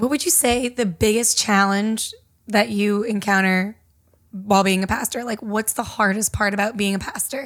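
This woman has an ordinary speaking voice at a medium pitch. Her intonation is fairly even. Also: moderate pace, very clean recording, silent background. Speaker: podcast host. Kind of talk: casual interview chat.

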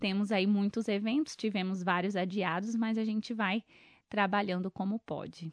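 A woman has an unremarkable speaking voice with medium pitch. The sound is dry and close with no echo, over a quiet background. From Brazil, Mato Grosso do Sul (Coxim). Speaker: event planner and journalist. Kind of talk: interview.

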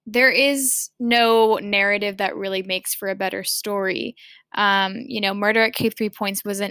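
A woman talks at a medium pitch. The sound is dry and close with no echo, and the recording is very clean over a silent background. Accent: American. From Massachusetts, US. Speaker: student podcaster. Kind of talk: casual interview. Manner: halting, many fillers.

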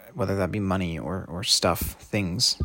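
With vocal fry throughout, this man's voice is pitched very deep and low. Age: 20s. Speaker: podcaster, programmer. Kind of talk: solo monologue podcast.

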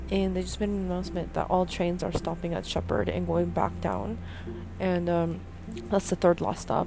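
This woman's voice sits very deep and low, with a dark, mellow tone and some vocal fry. She speaks at a moderate pace. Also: ordinary pitch variation. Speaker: podcaster. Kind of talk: casual monologue. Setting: subway train. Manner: halting.

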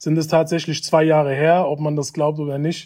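A man with a fairly high pitch and a dark, mellow tone speaks at a moderate pace. The background stays quiet. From Germany, Hanau (Hesse). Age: 20s. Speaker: education initiative project coordinator. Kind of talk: interview.

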